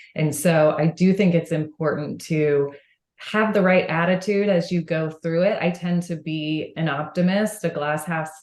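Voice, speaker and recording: In an American accent, a woman speaks at a fairly low pitch and a fairly slow pace with fairly even intonation. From Texas, Houston. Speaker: franchise marketing executive. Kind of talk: podcast interview.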